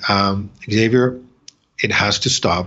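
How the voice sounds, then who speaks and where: A man with a French accent talks at a fairly slow pace with fairly even intonation. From France. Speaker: company president. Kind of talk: interview. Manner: halting.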